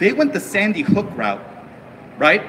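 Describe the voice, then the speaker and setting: A man with an American accent speaks at a high pitch, his voice making very wide pitch swings. Noticeable background noise runs behind him. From US, Korean American raised from infancy. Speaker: rally speaker. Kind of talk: political rally speech. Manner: animated.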